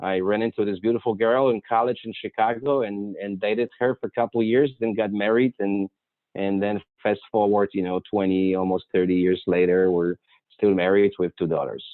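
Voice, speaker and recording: Speaking with a Polish accent, a man uses a fairly low pitch. His intonation stays fairly even. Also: moderate pace. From Poland, Warsaw. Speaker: architect. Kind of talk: talk to a club. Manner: halting.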